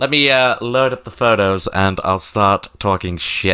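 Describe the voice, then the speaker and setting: Noticeable background noise sits behind a man with a British accent. His pitch variation is ordinary. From Britain. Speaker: streamer. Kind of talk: casual live stream chat. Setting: live stream with webcam. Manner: animated.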